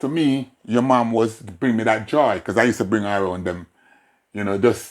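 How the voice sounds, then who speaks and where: A man with a Jamaican accent speaks at a moderate pace, his fairly low voice keeping a fairly even intonation. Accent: Jamaican, with patois features. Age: 60s. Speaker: father being interviewed. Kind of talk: casual family interview.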